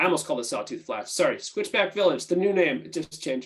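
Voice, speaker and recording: Against a quiet background, a man speaks at a high pitch. His pitch swings very widely. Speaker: housing authority staff presenter. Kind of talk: webinar presentation. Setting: video call. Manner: fast.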